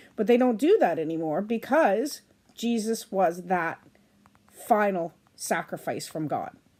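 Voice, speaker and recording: In a very clean recording with a silent background, a woman with a dark, mellow tone talks at a moderate pace with lively intonation. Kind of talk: reading aloud with commentary. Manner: halting.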